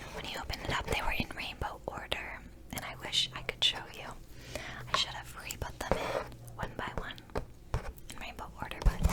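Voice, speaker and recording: Whispering at a moderate pace, a woman shows big swings in loudness against noticeable background noise. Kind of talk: whispered ASMR vlog to camera. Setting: close-mic studio recording. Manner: whispered, soft, rambling.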